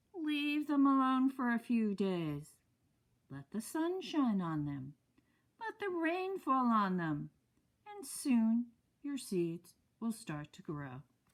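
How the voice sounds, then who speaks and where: Using a put-on character voice, a woman talks very slowly at a fairly high pitch, her pitch swinging very widely, with long, frequent pauses. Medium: read story.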